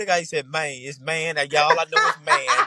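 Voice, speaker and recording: At a fairly quick pace, a man with a strong Mississippi accent speaks in a high pitch with ordinary pitch variation. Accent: Mississippi Southern, strong dialect. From Mississippi, US South. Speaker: Southern Soul singer. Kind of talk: podcast interview. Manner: animated.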